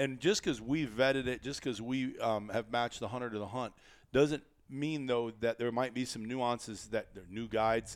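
In a very clean recording with a silent background, a man speaks with an American accent in a normal speaking voice. His pitch is medium, his intonation fairly even, and his pace moderate. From US Midwest (northeastern Iowa). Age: 50s. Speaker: podcast host, hunting outfitter. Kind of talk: casual chat. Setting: studio.

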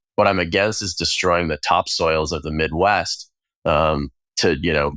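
In a very clean recording with a silent background, a man speaks with an American accent. His pitch is very deep and low, and the sound is dry and close with no echo. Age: 30s. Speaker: food company co-founder. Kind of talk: interview conversation.

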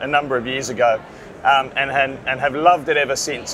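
A man with an Australian accent talks at a fairly quick pace. Noticeable background noise is present. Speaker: print business owner and industry association chairman. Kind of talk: interview. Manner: halting, many fillers.

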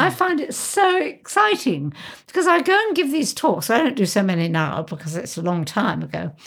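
A woman speaks at a moderate pace with vocal fry. Her pitch sits fairly high and swings very widely. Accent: British. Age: 70s. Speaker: aviator. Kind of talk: interview.

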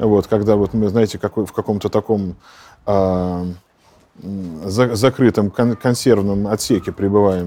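Dark and mellow in tone, this man's voice sits fairly low in pitch and shows ordinary pitch variation. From Russia, St Petersburg. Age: 40s. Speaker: Orthodox priest. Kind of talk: interview.

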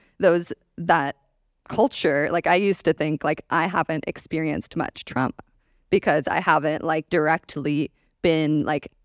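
A woman speaks with a very deep, low pitch and vocal fry. Her intonation stays fairly even. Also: very clean recording, silent background. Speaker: conflict facilitator and panelist. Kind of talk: panel conversation on stage.

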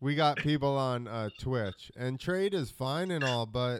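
A man with a plain, everyday voice at medium pitch. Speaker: podcast host. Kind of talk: casual chat.

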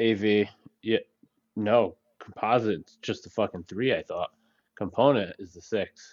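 A man with a fairly low pitch speaks with fairly even intonation and big swings in loudness. Long, frequent pauses break up his speech, and the sound is dry and close with no echo. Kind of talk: casual chat. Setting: live stream. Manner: profane.

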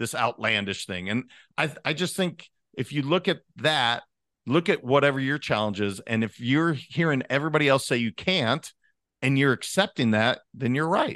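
With an American accent, a man at medium pitch speaks at a moderate pace with lively intonation and a bright, sharp tone. The sound is dry and close with no echo, against a quiet background. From Montana. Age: 40s. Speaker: leadership coach. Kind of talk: podcast interview. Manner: casual.

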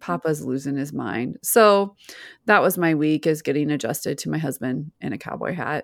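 A woman's very deep, low voice with vocal fry, lively intonation, and a moderate pace. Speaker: podcast co-host. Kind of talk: casual chat. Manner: laughs often, chatty.

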